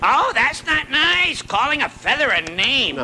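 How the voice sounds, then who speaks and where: Over clear background noise, a cartoonish character voice with a high pitch moves at a fairly slow pace. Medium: puppet show. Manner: goofy, punning.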